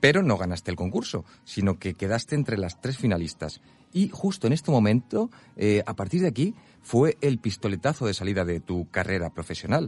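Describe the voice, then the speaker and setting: A man with a fairly low pitch talks at a fairly quick pace, his pitch swinging very widely. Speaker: radio host. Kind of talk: radio interview.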